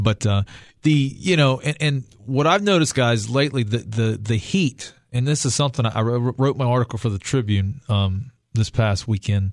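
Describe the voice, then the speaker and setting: Recorded very cleanly against a silent background, an unremarkable speaking voice moves at a moderate pace with ordinary pitch variation and very even loudness. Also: man, medium pitch for a man. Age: 30s. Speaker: fishing guide and radio host. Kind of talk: radio talk show. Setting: studio.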